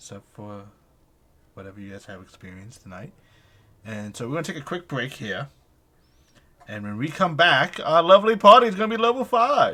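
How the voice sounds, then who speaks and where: A man's fairly high, bright and sharp voice in an animated tone, at a fairly quick pace, with very wide pitch swings, big swings in loudness, and long, frequent pauses. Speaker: game master of tabletop role-playing stream. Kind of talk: live-streamed tabletop game session. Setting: live stream.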